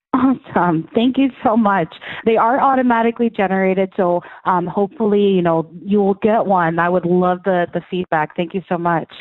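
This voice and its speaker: At a moderate pace, a woman speaks in a normal speaking voice with medium pitch and ordinary pitch variation. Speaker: customer support agent. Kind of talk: customer service call. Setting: phone call.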